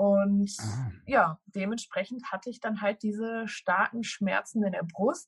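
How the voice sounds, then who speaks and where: At a very slow pace with hardly any pauses, a woman speaks in a medium, somewhat breathy pitch with ordinary variation, the sound dry and close with no echo. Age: 20s. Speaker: social media food influencer. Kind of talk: interview.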